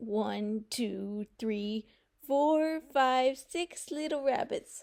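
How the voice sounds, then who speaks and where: This woman uses a put-on character voice with a high pitch. She speaks very slowly, her intonation lively. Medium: read story.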